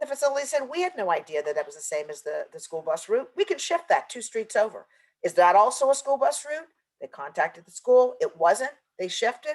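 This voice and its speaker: A woman with a high voice talks at a fairly quick pace, her pitch swinging very widely and her loudness rising and falling sharply. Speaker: environmental justice consultant. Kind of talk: webinar presentation. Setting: virtual conference. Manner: fast.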